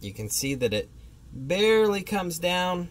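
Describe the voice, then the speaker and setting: A man's fairly slow delivery with ordinary pitch variation. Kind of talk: tutorial. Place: street. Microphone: phone near.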